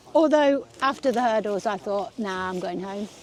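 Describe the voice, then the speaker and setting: A woman's voice with lively intonation amid noticeable background noise. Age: 60s. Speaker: masters athlete. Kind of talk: casual chat.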